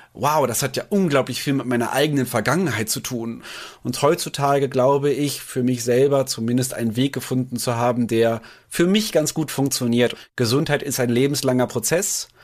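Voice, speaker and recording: At a moderate pace, an ordinary speaking voice carries ordinary pitch variation. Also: man, medium pitch for a man. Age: 30s. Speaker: nutrition expert. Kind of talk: casual chat.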